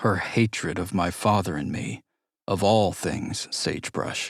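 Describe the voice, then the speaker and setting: Here a man talks in an ordinary speaking voice pitched fairly low. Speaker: audiobook narrator. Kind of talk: audiobook narration.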